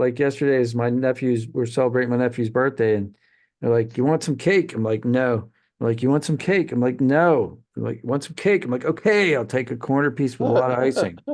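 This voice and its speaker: A man's ordinary speaking voice at medium pitch, fairly quick in pace, with ordinary pitch variation against a quiet background. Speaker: podcast host. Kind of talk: casual chat.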